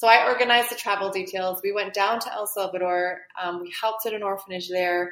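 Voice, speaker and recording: Delivered at a very fast pace with hardly any pauses, the speech keeps fairly even intonation but has big swings in loudness. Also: woman, medium pitch for a woman. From UK, then Canada from age 10. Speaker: entrepreneur and author. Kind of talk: interview.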